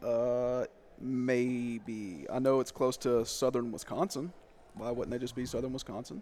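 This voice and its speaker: A man with an unremarkable speaking voice speaks at a medium pitch and a fairly slow pace, with ordinary pitch variation. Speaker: podcast host. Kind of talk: casual sports chat.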